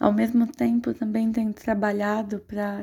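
Somewhat breathy, a woman speaks at a medium pitch in a dark, mellow tone. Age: 20s. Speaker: podcast host. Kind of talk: personal monologue.

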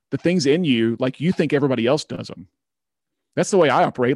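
A man with an American accent talks in a normal speaking voice with ordinary pitch variation, the sound dry and close with no echo over a quiet background. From Oklahoma, small town near Tulsa. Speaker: leadership consultant and author. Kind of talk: podcast interview.

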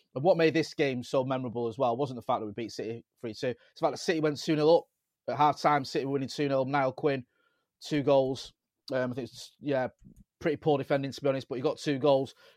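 At a very fast pace, a man with a slight Manchester accent talks in a fairly high pitch and fairly even intonation. His loudness swings widely against a quiet background. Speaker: football podcaster, United fan. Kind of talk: casual chat. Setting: video call.

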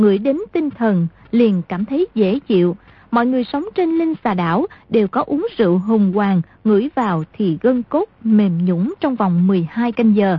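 This woman talks at a fairly slow pace in a fairly high, somewhat breathy voice. Her pitch swings very widely. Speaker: radio announcer. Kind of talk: radio announcement, recap intro and outro. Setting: radio broadcast.

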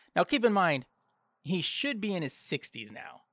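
A man's bright, sharp voice with an American accent, dry and close with no echo. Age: 40s. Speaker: podcast host. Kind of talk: solo commentary. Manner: casual with frequent fillers.

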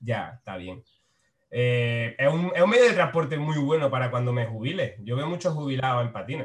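A man with a somewhat breathy, medium-pitched voice talks at a moderate pace, with lively intonation and big swings in loudness. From Spain, Frailes, Jaén province. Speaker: comedian. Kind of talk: casual chat. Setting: video call.

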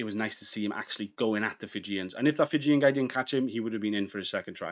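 A man with a Welsh accent talks at a fairly quick pace in a fairly low pitch. The recording is very clean, with a silent background. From Wales. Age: 30s. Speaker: rugby podcast host. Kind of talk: solo podcast commentary. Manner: casual, animated.

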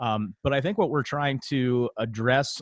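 A man talks with ordinary pitch variation. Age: 30s. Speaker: podcast co-host. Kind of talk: casual chat.

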